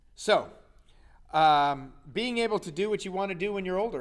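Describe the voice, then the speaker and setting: A man speaks in an animated tone at a fairly quick pace. His pitch varies in an ordinary way. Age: 60s. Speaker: health coach. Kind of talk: motivational talk.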